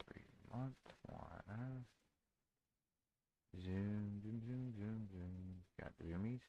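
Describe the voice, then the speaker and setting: Soft-spoken and at a very slow pace, a man talks with fairly even intonation and long, frequent pauses. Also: fairly low pitch for a man. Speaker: day trader streamer. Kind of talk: live trading stream. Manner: casual.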